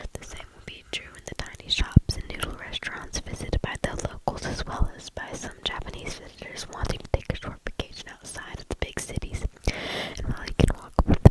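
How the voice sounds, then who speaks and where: Fairly quick whispering over noticeable background noise. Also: woman. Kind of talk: ASMR reading of stories.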